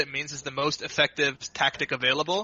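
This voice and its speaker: Here a man speaks at a fairly quick pace. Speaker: esports coach. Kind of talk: podcast Q&A.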